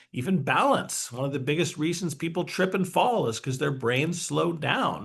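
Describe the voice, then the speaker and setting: With lively intonation and a fairly high pitch, a man speaks at a fairly quick pace in a room with audible echo. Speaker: neuroscientist co-host. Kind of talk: webinar lecture. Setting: online webinar. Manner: fast.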